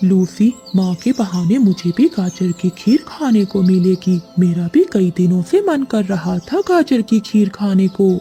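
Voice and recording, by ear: A female-sounding cartoonish character voice talks in a middle pitch at a moderate pace with hardly any pauses. Clear music plays in the background.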